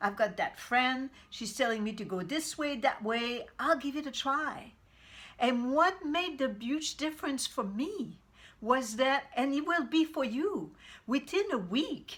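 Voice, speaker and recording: The speaker has a Quebec accent and lively intonation. The pace is fairly slow. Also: woman. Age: 60s. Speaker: vegan cooking coach. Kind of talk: motivational talk to camera. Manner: halting, many repetitions.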